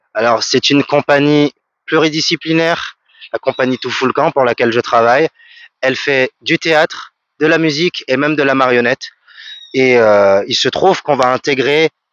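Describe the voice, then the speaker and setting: At a moderate pace and with long, frequent pauses, a man speaks at a fairly high pitch with ordinary pitch variation. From French Guiana. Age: 30s. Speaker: music producer and vocalist. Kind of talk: radio interview answer.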